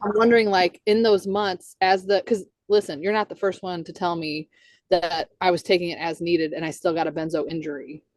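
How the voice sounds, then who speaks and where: This is a woman with a normal speaking voice, fairly low in pitch, at a fairly quick pace. Her intonation is fairly even, but her loudness swings widely. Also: dry, close sound with no echo. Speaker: psychiatric drug withdrawal consultant and healing coach. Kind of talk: interview host.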